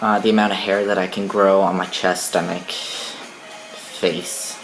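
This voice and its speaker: Music plays in the background. A man talks in a fairly low, monotone, flat voice. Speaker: vlogger. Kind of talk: casual vlog talk. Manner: casual, hesitant with many fillers.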